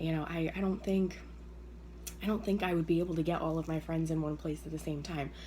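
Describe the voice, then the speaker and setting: A woman speaks in a fairly low, dark, mellow voice that is somewhat breathy. Her pace is fairly quick and her intonation fairly even. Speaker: direct sales consultant. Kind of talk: tutorial. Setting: at home early morning. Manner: hesitant, many fillers.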